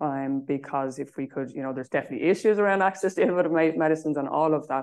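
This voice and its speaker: A woman with an Irish accent and fairly even intonation against a quiet background. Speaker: charity chief executive. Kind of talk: conference talk; panel discussion.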